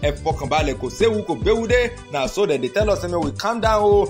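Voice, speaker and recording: Music can be heard in the background. The speaking goes at a moderate pace. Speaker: radio news presenter. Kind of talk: humorous radio news roundup. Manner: humorous.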